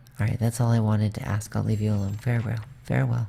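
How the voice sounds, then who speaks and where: A quiet voice at a fairly quick pace. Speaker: gaming video creator. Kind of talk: let's play commentary. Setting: home, evening stream. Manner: quiet, kept down.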